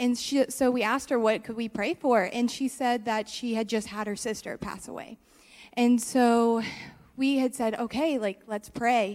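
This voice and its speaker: A woman talks at a moderate pace in an ordinary speaking voice. Her pitch is fairly high and her intonation fairly even. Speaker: church member. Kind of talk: testimony. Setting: church.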